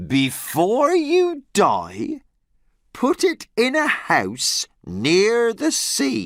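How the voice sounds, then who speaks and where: In a put-on character voice with a fairly high pitch, the speaker goes at a very slow pace in a very clean recording with a silent background. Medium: read story. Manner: solemn, cryptic.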